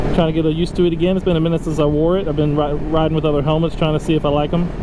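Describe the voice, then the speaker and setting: Noticeable background noise and audible room echo surround a man talking very fast. His fairly high voice stays monotone and flat, with very even loudness. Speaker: motovlogger. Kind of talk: casual vlog narration while riding. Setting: riding a motorcycle, helmet mic.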